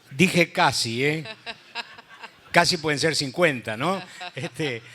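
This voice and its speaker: A man with a fairly high pitch speaks very slowly, with ordinary pitch variation. Noticeable background noise runs underneath. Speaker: radio announcer. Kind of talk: panel discussion.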